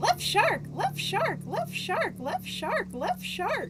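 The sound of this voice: Put-on character voice at a very slow pace, under loud background noise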